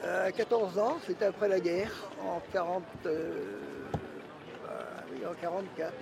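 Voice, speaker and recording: A man with a high-pitched voice against noticeable background noise. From Brittany, Morbihan (Le Bono). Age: 80s+. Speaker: retired butcher, former fisherman. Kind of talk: interview. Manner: halting.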